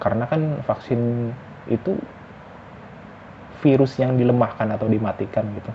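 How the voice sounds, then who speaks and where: Over noticeable background noise, a man with a medium pitch and ordinary pitch variation speaks with long, frequent pauses. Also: moderate pace. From West Java, Indonesia. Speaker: vlogger. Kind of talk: casual monologue vlog. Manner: halting, self-correcting.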